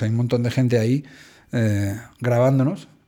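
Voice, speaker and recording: On a very clean recording with a silent background, a man speaks at a medium pitch in a dark, mellow tone with fairly even intonation. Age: 40s. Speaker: theatre school director. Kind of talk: interview.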